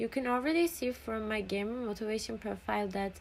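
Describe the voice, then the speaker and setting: Speaking with a Turkish accent at a moderate pace, a woman uses a fairly high pitch with ordinary variation. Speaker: student. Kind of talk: scripted narration. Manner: excited.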